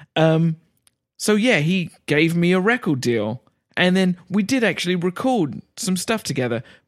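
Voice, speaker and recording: A man's high-pitched voice in an Essex accent, fairly slow, with very wide pitch swings and very even loudness, the sound dry and close with no echo on a very clean recording over a silent background. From Essex, England. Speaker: guest. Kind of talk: casual chat.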